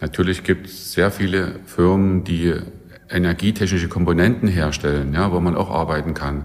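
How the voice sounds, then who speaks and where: Moderately paced, very deep and low male speech with fairly even intonation over noticeable background noise. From Saxony (Saxon Switzerland). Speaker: professor. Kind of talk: interview.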